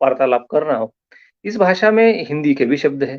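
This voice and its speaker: A man with a Marathi accent speaks with a fairly high pitch and lively intonation. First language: Marathi (speaking Hindi). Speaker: lecturer. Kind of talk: lecture. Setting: online live stream.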